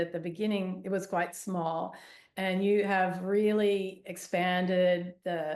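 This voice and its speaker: Here a woman speaks at a medium pitch. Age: 60s. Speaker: yoga therapist. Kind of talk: interview. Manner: halting.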